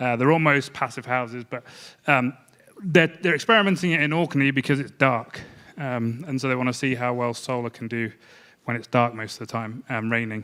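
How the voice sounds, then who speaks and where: With a slight English accent, this bright, sharp-toned voice moves at a fairly quick pace with ordinary pitch variation. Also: man, medium pitch for a man. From England. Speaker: energy modeling company head. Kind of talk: conference panel presentation.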